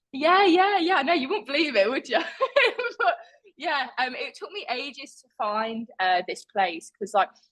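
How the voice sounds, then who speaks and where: With an East Midlands accent, a woman speaks high in pitch at a fairly slow pace. Her pitch swings very widely. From England, Leicester (East Midlands). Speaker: artist, former competitive swimmer. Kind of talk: casual interview chat. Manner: animated, chatty with many fillers.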